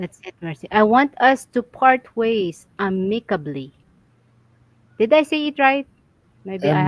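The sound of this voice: A woman speaks at a fairly slow pace with long, frequent pauses, her fairly high voice making very wide pitch swings. Her loudness swings widely, and the sound is dry and close with no echo.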